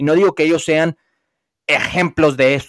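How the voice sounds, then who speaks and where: A man with an unremarkable speaking voice, fairly high in pitch, at a moderate pace, on a very clean recording with a silent background and a dry, close sound with no echo. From US, Los Angeles, of Mexican heritage. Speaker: former footballer and football pundit. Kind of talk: casual debate.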